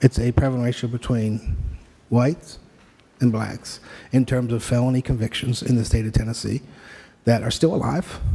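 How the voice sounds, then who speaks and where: Soft-spoken and somewhat breathy, this voice has a dark, mellow tone, a moderate pace and fairly even intonation. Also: man. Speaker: expert witness. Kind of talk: court testimony. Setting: courtroom. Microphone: too quiet, hard to hear.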